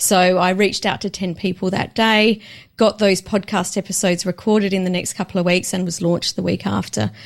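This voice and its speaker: A woman with a normal speaking voice at medium pitch speaks with fairly even intonation on a very clean recording with a silent background. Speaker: business coach, author and podcast host. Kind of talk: casual interview chat.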